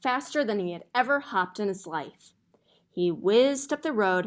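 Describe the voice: Quiet background, plain reading aloud, lively intonation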